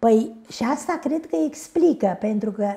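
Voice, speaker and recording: A woman speaks at a fairly slow pace in a dark, mellow, somewhat breathy tone. Her pitch swings very widely. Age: 80s+. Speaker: historian. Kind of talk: interview.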